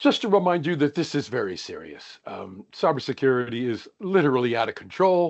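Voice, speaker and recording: A man with an American accent speaks at a fairly quick pace with hardly any pauses, his pitch fairly high. His pitch swings very widely, and his loudness rises and falls a great deal. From United States. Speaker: organizational psychologist, workshop presenter. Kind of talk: webinar presentation.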